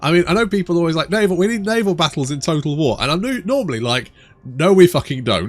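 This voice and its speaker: Talking at a very fast pace, this man has a high-pitched voice. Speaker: gaming YouTuber. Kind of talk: gameplay commentary. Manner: casual, rambling with repetitions.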